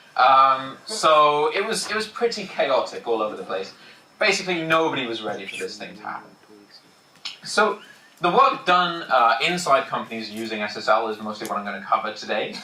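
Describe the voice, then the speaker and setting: A man with a fairly high pitch, very wide pitch swings and big swings in loudness at a fairly quick pace, amid noticeable background noise and audible room echo. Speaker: security engineer giving conference talk. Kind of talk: technical conference talk. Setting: packed conference room with audience. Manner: fast, hurried.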